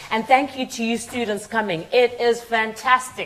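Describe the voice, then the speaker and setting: Intonation stays fairly even at a fairly slow pace. Noticeable background noise can be heard. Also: woman. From Zimbabwe. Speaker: charity partnerships head, guest speaker. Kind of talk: conference talk. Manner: conversational, with fillers.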